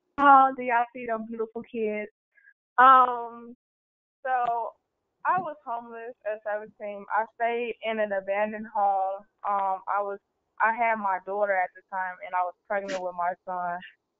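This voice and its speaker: Fairly high in pitch, a woman has an ordinary speaking voice, with ordinary pitch variation and a fairly slow pace. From Chicago, Illinois. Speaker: youth council member, formerly homeless young mother. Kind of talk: personal testimony. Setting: online webinar.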